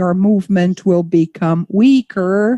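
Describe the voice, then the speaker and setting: Her dark, mellow tone comes through dry and close with no echo as this woman talks with fairly even intonation. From Brazil. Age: 60s. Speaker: panel moderator, arts manager. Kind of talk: panel discussion. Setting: live stream.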